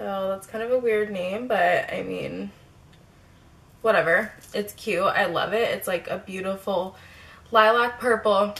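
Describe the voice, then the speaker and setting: A woman's very slow delivery, ordinary in its pitch variation. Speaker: beauty vlogger. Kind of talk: casual chat. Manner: casual, filler-heavy.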